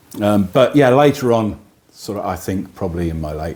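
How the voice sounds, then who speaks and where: Music plays in the background while a man talks with lively intonation. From Midlands and Cornwall, England. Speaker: singer-songwriter. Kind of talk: radio interview. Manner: halting.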